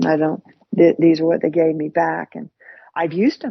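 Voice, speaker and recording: A woman's fairly low-pitched voice with an American accent. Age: 60s. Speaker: podcast co-host. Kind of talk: casual chat. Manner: halting, repetitive.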